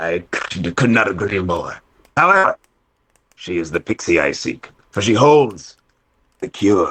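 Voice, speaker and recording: Long, frequent pauses break up a man's put-on character voice. He is fairly low in pitch and keeps a moderate pace. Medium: actual play. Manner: old-timey pirate speech.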